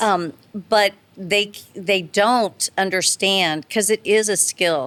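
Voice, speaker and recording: At a very slow pace, a woman with an American accent and a medium pitch speaks with very even loudness and fairly even intonation, in a dry, close sound with no echo. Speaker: charity auctioneer. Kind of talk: podcast interview answer.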